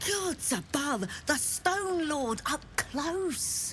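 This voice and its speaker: In a put-on character voice with a high pitch, the speaker goes very slowly over clear background noise. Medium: video game.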